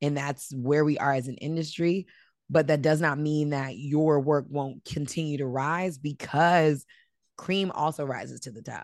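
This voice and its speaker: Against a quiet background, a woman with an American accent speaks at a very deep, low pitch and a moderate pace. Her loudness swings widely while her intonation stays fairly even. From US, DC/Maryland area. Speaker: entertainment journalist. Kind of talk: interview conversation.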